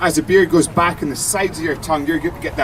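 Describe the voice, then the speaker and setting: A man speaks with a Scottish accent and an animated tone. Noticeable background noise can be heard. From Scotland. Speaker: brewer and TV presenter. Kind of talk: live beer tasting demo for audience.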